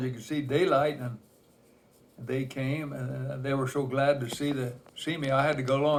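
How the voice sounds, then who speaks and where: Someone with an American accent speaks at a moderate pace in a monotone, flat intonation. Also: man. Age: 90s. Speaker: elderly storyteller. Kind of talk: oral history interview. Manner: halting.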